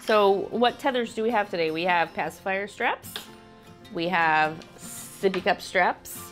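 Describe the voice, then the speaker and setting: Over music in the background, a woman speaks fairly slowly at a medium pitch with ordinary pitch variation. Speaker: stay-at-home mom. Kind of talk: casual product review to camera.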